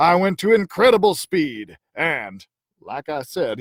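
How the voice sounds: A natural reading voice sounds against a quiet background.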